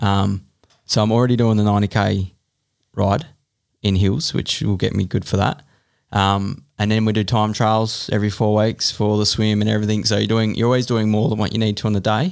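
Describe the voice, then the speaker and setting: Here a man speaks with an Australian accent, pitched fairly low, his intonation fairly even. His loudness stays very even on a very clean recording with a silent background. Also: fairly quick pace. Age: 30s. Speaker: enduro mountain bike racer. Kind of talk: casual chat.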